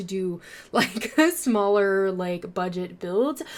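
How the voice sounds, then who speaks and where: Pitch swings very widely in this very clean recording with a silent background. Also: woman. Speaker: gaming YouTuber. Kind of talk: casual voiceover commentary. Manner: fast.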